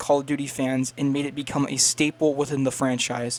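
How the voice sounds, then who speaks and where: A man is speaking here. He has a fairly high pitch and a normal speaking voice. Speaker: gaming video creator. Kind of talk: video essay narration.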